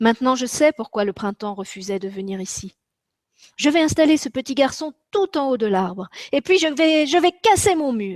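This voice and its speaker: A woman's high voice with very wide pitch swings at a moderate pace, dry and close with no echo, in a very clean recording with a silent background. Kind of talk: children's story reading.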